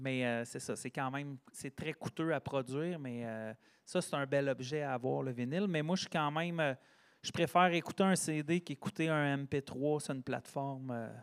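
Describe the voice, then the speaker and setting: Recorded very cleanly against a silent background, with a dry, close sound and no echo, a man uses a normal speaking voice, fairly high in pitch, with ordinary pitch variation at a fairly slow pace. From Quebec, Sherbrooke region. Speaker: singer-songwriter and teacher. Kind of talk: casual interview chat.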